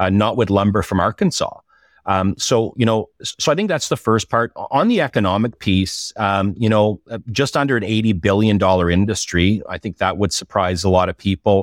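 The recording is very clean, with a silent background. A man with an Ottawa Valley accent speaks fairly quickly, fairly low in pitch, with ordinary pitch variation. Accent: Canadian English, Ottawa Valley. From Eastern Ontario, Canada (Ottawa Valley). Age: 40s. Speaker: industry association head. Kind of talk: interview. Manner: halting, many repeated words.

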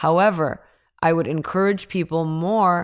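Over a quiet background, a woman with a plain, everyday voice speaks fairly low and at a fairly slow pace. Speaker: crypto and NFT expert. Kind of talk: casual interview chat.

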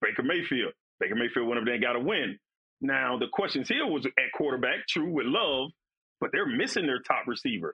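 A man with an American accent speaks in an ordinary speaking voice, his pitch fairly high, his intonation lively and his pace fairly quick. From Florida. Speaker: former NFL defensive lineman. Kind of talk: casual chat.

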